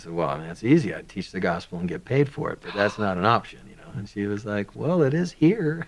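Amid noticeable background noise, a man with an American accent talks fairly quickly in a fairly low pitch, with very wide pitch swings and big swings in loudness. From US South, Georgia (rural). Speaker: religious teacher and podcast co-host. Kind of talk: interview. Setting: studio. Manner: halting.

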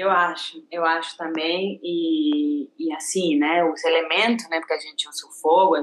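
A woman speaks with a fairly low pitch and fairly even intonation. Her pace is moderate. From Argentina. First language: Spanish (speaking Portuguese). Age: 30s. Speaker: ceramics teacher. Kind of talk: casual interview chat.

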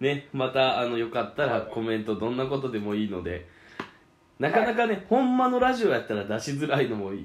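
There is audible room echo around the voice. A man talks at a fairly quick pace. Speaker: podcast co-host. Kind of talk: casual chat. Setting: online call. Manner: animated.

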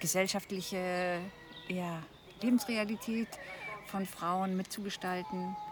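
Very slowly and with long, frequent pauses, a woman of medium pitch speaks with fairly even intonation over noticeable background noise. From East Frisia, northern Germany. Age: 60s. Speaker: retired corporate manager. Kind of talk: casual conversation. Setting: outdoors.

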